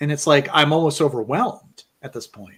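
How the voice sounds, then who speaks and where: A man speaks at a moderate pace with ordinary pitch variation. His voice has vocal fry. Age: 40s. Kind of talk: casual chat. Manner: halting.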